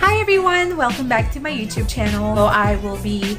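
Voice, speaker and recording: A woman speaks with clear music in the background. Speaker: voice actor. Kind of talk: casual talk to camera. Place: home room. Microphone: phone near.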